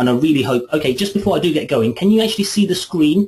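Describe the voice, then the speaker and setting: Somewhat breathy, a man's voice rushes along at a very fast pace. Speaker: software trainer. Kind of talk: webinar tutorial. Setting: online webinar.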